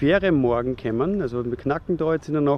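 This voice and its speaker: The sound is dry with no echo as a man talks at a moderate pace. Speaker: van travel vlogger. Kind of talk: casual vlog chat. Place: street. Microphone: phone near.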